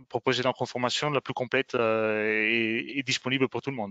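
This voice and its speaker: A man with an Italian accent, medium pitch and fairly even intonation. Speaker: software trainer. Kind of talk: webinar presentation. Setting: online webinar. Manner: halting, many fillers.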